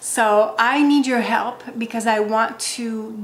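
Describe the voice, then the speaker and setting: Speaking with a French accent, a woman has a fairly high pitch and a very slow pace. Room echo is audible. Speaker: wellness content creator. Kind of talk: direct-to-camera vlog.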